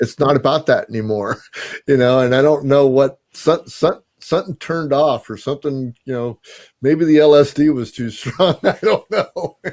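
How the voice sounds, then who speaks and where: A man speaks with a fairly high pitch. His pitch varies in an ordinary way, and his pace is moderate. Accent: American. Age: 60s. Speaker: podcast host. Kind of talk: casual chat. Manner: casual, halting with many fillers.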